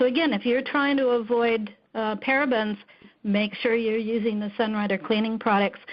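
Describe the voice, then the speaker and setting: Speaking at a moderate pace, a woman uses an ordinary speaking voice with a fairly high pitch and fairly even intonation. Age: 50s. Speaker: network marketing distributor. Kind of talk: testimony.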